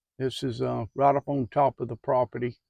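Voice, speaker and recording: A man is heard in a dry, close sound with no echo and a quiet background. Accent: Southern US. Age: 70s. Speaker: farmer. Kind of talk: casual farm tour talk. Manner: relaxed, hesitant.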